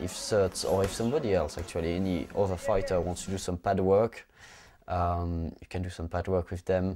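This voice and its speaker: The tone is dark and mellow, with a French accent. Intonation stays fairly even at a moderate pace. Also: man, very deep, low pitch for a man. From France, Clermont-Ferrand. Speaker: amateur Thai boxer. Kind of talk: documentary interview. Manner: halting.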